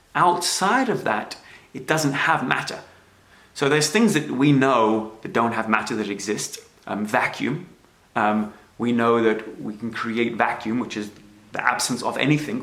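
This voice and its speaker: With audible room echo, a man talks at a moderate pace and medium pitch, his pitch varying in an ordinary way. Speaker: self-help speaker. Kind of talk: livestream talk. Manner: hesitant fillers.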